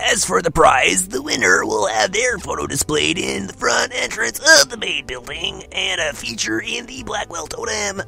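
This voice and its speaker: A woman's put-on character voice with hardly any pauses and clear music in the background. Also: moderate pace. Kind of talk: comic put-on voice. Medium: game stream. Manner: teacherly, announcing.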